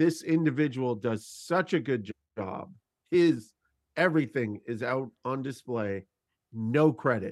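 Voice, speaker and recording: With an unremarkable speaking voice, a man talks at a fairly slow pace in a medium pitch, his intonation lively. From Canada. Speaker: podcast co-host. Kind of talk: casual chat.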